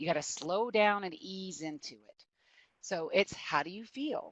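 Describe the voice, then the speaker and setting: Heard with a dry, close sound and no echo, the speaker talks with an American accent. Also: woman. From US South. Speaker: prosecutor. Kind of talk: webinar presentation. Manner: fast.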